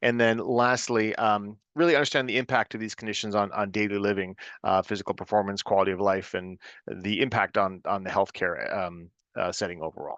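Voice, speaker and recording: This man talks at a fairly quick pace. His pitch is fairly low, with ordinary pitch variation. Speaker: family physician. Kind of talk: lecture. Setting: video call. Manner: fast.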